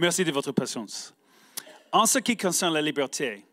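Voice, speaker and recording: With an English accent and a fairly high pitch, a man speaks at a fairly slow pace in a bright, sharp tone with lively intonation, the sound dry and close with no echo. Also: very clean recording, silent background. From United States. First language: English (speaking French). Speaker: homeschool advocacy leader. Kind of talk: prepared speech. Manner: halting.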